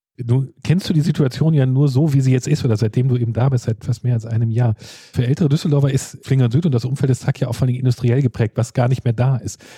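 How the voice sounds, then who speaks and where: Somewhat breathy and dark, mellow in tone, a man speaks at a very fast pace. His medium-pitched voice keeps a fairly even intonation. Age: 40s. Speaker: podcast host. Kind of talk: interview.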